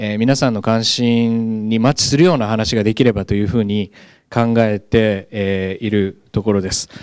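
A man's fairly low voice over a quiet background. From Japan, Gunma. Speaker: professor. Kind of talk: lecture. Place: classroom. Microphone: handheld.

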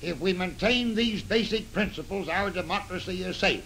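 A high-pitched man with an American accent at a moderate pace, over light background noise. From United States. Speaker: retired military general. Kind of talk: newsreel statement about testimony. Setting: old newsreel recording. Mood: grave, earnest. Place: office. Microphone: old recording.

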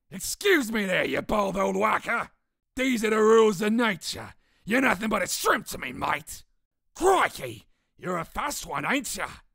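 In a put-on character voice, the speaker sounds raspy and fairly high-pitched, going at a moderate pace. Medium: dub.

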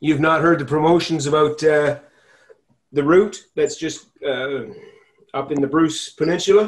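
Against a quiet background, a man with an unremarkable speaking voice talks at a fairly slow pace, fairly high in pitch, with fairly even intonation. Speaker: club member, ride organizer. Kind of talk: casual chat. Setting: video call. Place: home room. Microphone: headset.

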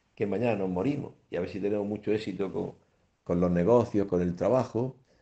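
A man with a Spanish accent, fairly low in pitch, his tone dark and mellow, ordinary pitch variation, over a quiet background. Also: fairly quick pace. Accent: Spanish (Spain). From Spain. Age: 70s. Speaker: priest radio host. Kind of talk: radio catechesis talk; sermon-like radio talk. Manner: conversational, with fillers and repetitions. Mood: calm, warm, reflective. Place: studio. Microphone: studio mic.

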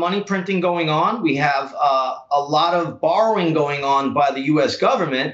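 A man speaks at a high pitch against a quiet background. Audible room echo fills the recording. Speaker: stock trader. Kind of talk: news interview. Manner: repetitive intensifiers, frequent fillers. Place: office. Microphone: webcam.

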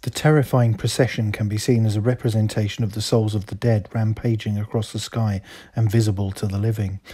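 At a fairly quick pace, a somewhat breathy voice with a dark, mellow tone speaks in a flat monotone on a very clean recording with a silent background. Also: man. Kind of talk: history documentary narration.

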